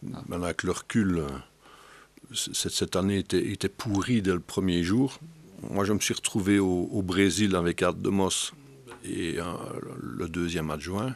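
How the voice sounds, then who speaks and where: This man has a very deep, low pitch. He speaks at a fairly slow pace with long, frequent pauses. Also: ordinary pitch variation. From Belgium. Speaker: football federation director, former coach; former coach. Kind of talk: interview. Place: studio. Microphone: studio mic.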